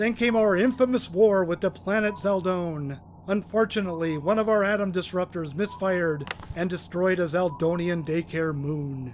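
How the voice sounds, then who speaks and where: A man's put-on character voice, high-pitched for a man, at a moderate pace over clear background noise. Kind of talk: comic mock broadcast. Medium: comedy sketch. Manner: chatty, sarcastic.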